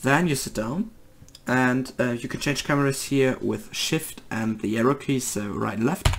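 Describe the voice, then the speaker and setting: A German accent over noticeable background noise. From Germany. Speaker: gaming video creator. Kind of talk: tutorial. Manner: halting, many fillers.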